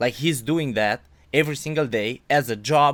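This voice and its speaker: This man has a fairly high pitch and a Romanian accent. The recording is very clean, with a silent background. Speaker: podcast interviewer, amateur weightlifter. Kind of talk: interview. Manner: halting.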